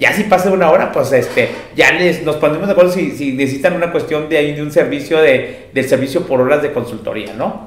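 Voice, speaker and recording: Amid noticeable background noise and audible room echo, a man with a fairly high pitch and ordinary pitch variation speaks at a fairly quick pace with hardly any pauses. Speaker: security consultant and webinar host. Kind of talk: presentation.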